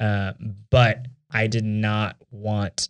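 With a Texan accent, the voice has fairly even intonation and a dry, close sound with no echo. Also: man, very clean recording, silent background. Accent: Texan American. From Texas, Houston (Katy Cypress area). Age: 20s. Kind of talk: casual chat.

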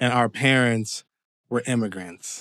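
In a very clean recording with a silent background and a dry, close sound with no echo, a man speaks at a moderate pace and medium pitch in an ordinary speaking voice. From Canada, Windsor, Ontario. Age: 40s. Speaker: screenwriter. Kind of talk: interview conversation. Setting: his home.

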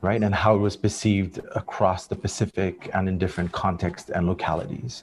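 Very deep and low in pitch, a man speaks somewhat breathily at a fairly quick pace with fairly even intonation. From Fiji. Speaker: climate activist and filmmaker. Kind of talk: panel discussion.

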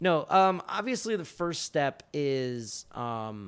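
With an American accent and lively intonation, a man talks in an unremarkable speaking voice at a medium pitch. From Florida. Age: 30s. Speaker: comic book writer. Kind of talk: casual chat.

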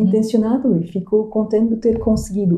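A woman's somewhat breathy voice of medium pitch with a dark, mellow tone. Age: 50s. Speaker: coach and NLP trainer. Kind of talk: casual interview. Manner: halting, frequent repetitions.

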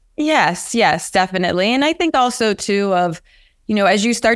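Recorded very cleanly against a silent background, a woman's voice sounds dry and close, with no echo. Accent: Pennsylvania. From US, rural central Pennsylvania. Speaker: venture capital investor. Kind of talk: interview.

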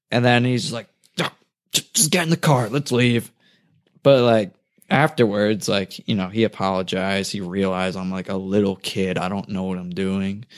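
Recorded very cleanly against a silent background, a man with a plain, everyday voice and an American accent talks at a moderate pace and a fairly low pitch, with ordinary pitch variation. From New Jersey. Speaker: professional skateboarder. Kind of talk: casual interview. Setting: host's apartment.

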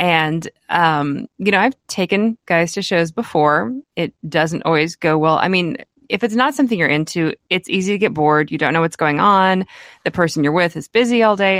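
An unremarkable speaking voice, a woman with an American accent talks at a moderate pace with a fairly low pitch and lively intonation, on a very clean, dry, close recording with no echo and a silent background. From Kansas. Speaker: rabbit breeder and podcast co-host. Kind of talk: casual chat.

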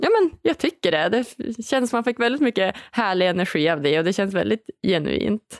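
The speech runs on with hardly any pauses and very wide pitch swings. The sound is dry and close, with no echo. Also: woman, medium pitch for a woman, moderate pace. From northern Sweden (Umeå). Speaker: podcast host. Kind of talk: podcast interview. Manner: animated.

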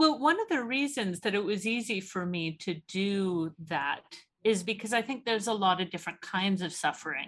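In a quiet background, a woman talks with a Canadian accent in a normal speaking voice of medium pitch. Her intonation is lively, and she keeps a moderate pace with hardly any pauses. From Canada. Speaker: theology researcher and author. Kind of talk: casual interview.

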